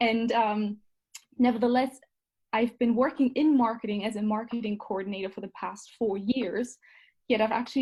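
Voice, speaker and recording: With a German accent, a woman speaks at a moderate pace in a fairly high pitch, sounding somewhat breathy. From Germany. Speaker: marketing coordinator and certificate student. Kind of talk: interview.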